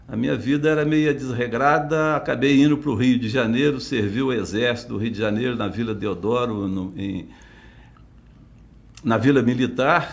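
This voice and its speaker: There is audible room echo as a man talks at a moderate pace with a medium pitch and ordinary pitch variation. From Minas Gerais, Brazil (south, Alfenas region). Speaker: retired police chief. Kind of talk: interview. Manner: halting.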